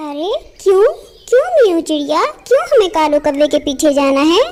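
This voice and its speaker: A woman puts on a cartoonish character voice, pitched extremely high. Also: moderate pace. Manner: sharp, nagging.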